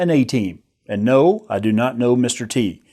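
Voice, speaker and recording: Lively intonation in an American accent, on a very clean recording with a silent background. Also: man. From US South, northern Alabama. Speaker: online course instructor, army veteran. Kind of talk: recorded course introduction.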